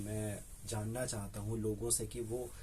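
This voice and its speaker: Somewhat breathy male voice. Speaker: radio jockey. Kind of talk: casual interview answer, Hindi mixed with English. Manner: conversational, animated, reflective.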